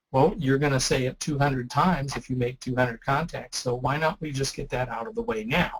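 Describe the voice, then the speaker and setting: Moderate pace and ordinary pitch variation from a man, somewhat breathy and medium in pitch. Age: 60s. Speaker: ham radio presenter. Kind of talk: webinar presentation. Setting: online webinar. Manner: casual, conversational.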